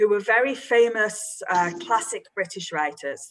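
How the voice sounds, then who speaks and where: Fairly slow speech from a woman with an English accent, with ordinary pitch variation. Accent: English accent, own remark. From northern England, Manchester. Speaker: creative writing teacher. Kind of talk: online workshop for students. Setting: video call with screen share.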